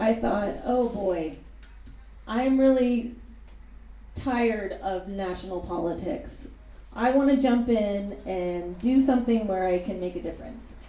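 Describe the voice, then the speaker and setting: A woman speaks at a medium pitch and a fairly slow pace, with ordinary pitch variation and long, frequent pauses. Noticeable background noise and audible room echo are present. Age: 40s. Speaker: city council candidate. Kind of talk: candidate forum statement. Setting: public forum with live audience.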